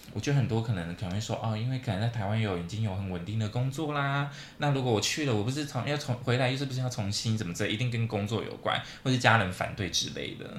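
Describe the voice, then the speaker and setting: With audible room echo, a man speaks at a very fast pace in a somewhat breathy voice of medium pitch and ordinary pitch variation. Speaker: podcast co-host. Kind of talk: casual chat.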